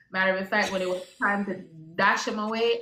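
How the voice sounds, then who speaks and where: A woman speaks in a monotone, flat intonation at a medium pitch. Audible room echo and noticeable background noise are present. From Jamaica. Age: 30s. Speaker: IVF patient sharing her story. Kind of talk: casual chat.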